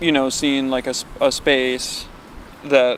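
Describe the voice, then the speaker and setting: A man with a Western New York accent speaks at medium pitch and a very slow pace. His intonation is monotone and flat over noticeable background noise. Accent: Western New York American. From Buffalo, New York. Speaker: electronic musician and visual artist. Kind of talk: oral history interview answer. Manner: hesitant, reflective.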